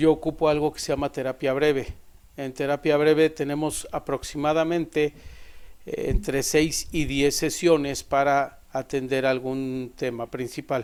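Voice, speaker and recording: In an ordinary speaking voice, a man goes along at a fairly slow pace. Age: 50s. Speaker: psychologist. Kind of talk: podcast self-introduction. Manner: formal.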